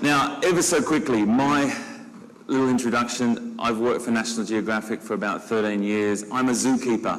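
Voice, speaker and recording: Medium-pitched male voice at a moderate pace, ordinary pitch variation and very even loudness, with audible room echo and noticeable background noise. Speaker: zookeeper, panel moderator. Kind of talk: panel moderation. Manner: enthusiastic.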